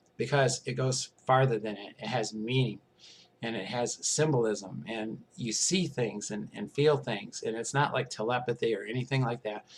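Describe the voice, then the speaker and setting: Somewhat breathy, a man speaks at a medium pitch. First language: not English. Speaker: vlogger describing alien contact experiences. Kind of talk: casual monologue. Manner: hesitant, many fillers.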